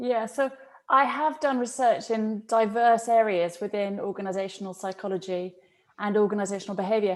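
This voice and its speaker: A woman with a British accent, fairly high pitch and a fairly quick pace. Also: ordinary pitch variation. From UK. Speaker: professor of organizational psychology. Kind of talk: podcast interview.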